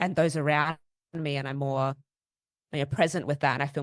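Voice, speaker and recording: A woman speaks in a very deep, low voice with flat, monotone intonation against a quiet background. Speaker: podcast co-host. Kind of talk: casual podcast conversation.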